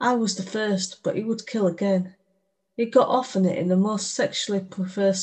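Plain reading aloud in a fairly even intonation against a quiet background

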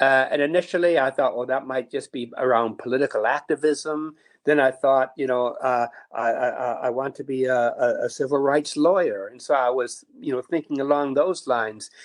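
A man with an American accent and an unremarkable speaking voice, fairly high in pitch, at a moderate pace with fairly even intonation. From US, Niagara Falls, New York. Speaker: priest and university chaplain. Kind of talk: interview, reflective conversation. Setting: remote, working from home.

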